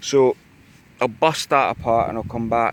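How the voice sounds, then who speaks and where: A man with a Scottish accent at a medium pitch. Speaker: metal detecting vlogger. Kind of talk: casual vlog narration. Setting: outdoors in a field. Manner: monotone.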